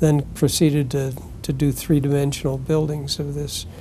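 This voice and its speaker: There is noticeable background noise as a man speaks with a fairly high pitch and fairly even intonation. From US Northeast, Connecticut. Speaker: retired architect. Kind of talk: interview, life story. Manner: halting, many fillers.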